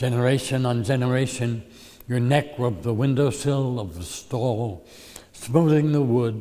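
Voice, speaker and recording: This man talks at a fairly slow pace in a normal speaking voice, with ordinary pitch variation. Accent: American. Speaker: poet. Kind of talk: poetry reading.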